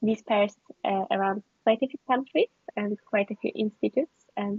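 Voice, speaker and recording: Somewhat breathy and with ordinary pitch variation, the woman's voice carries on. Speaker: PhD researcher. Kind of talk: casual chat; presentation talk. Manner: slow; halting.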